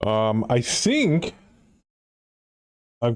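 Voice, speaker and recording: A male voice, dark and mellow in tone. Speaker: video game streamer. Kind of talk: casual live-stream chat. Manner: low-energy.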